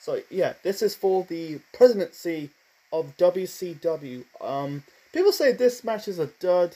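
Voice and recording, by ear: Speaking at a fairly slow pace, a man has a high pitch, a dark, mellow tone and lively intonation.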